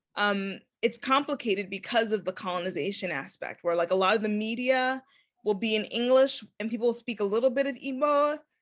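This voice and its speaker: A woman with a normal speaking voice and an American accent, fairly high in pitch, fairly quick, with ordinary pitch variation. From Chicago, US. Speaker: podcast host. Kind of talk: casual interview chat.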